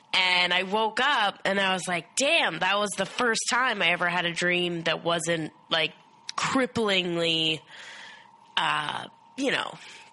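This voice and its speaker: A woman speaks very slowly, her fairly low pitch showing ordinary variation. Noticeable background noise runs underneath. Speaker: co-host friend. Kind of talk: casual chat.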